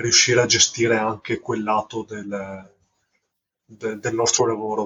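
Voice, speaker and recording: A man speaks in a medium pitch. His voice is somewhat breathy. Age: 30s. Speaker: carpenter and indie film director. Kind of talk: casual interview. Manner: halting, repeats words.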